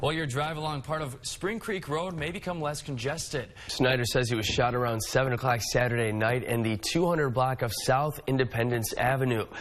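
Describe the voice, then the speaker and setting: A man talks with hardly any pauses, using a medium pitch and ordinary pitch variation. He has an unremarkable speaking voice. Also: fairly quick pace. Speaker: morning news anchor and reporter. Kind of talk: local TV news anchor read.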